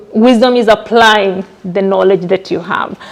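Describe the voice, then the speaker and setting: A woman speaks at a fairly slow pace in a monotone, flat intonation. Noticeable background noise is present. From Kenya. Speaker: community organizer and nurse. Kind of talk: information session presentation. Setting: live event with audience and mic. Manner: halting, many fillers.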